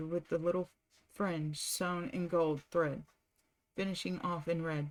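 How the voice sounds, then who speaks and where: Soft-spoken and fairly low in pitch, a woman talks at a very slow pace. Her intonation stays fairly even. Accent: American. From southern United States. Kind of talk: audiobook reading, relaxing. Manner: soft-spoken, calm.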